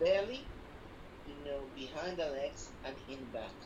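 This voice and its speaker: A woman talks at a fairly slow pace while noticeable background noise is heard. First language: not English. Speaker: spiritual teacher. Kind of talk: one-on-one spiritual instruction. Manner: halting, many repetitions and fillers.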